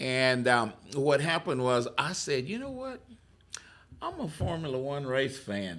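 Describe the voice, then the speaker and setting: With a strong Texas accent, a man speaks at a fairly slow pace. His pitch is fairly high, with ordinary pitch variation. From Texas (McGregor). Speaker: career coach and job-seeker radio host. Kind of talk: interview storytelling. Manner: hesitant, many filler words.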